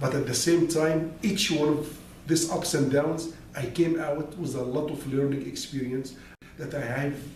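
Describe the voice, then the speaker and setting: There's noticeable background noise and audible room echo as a man talks with an Arabic accent. His pitch is fairly high, his pace fairly slow, and his intonation fairly even. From Egypt (Alexandria). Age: 60s. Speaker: business consultant and motivational speaker. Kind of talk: personal life story monologue.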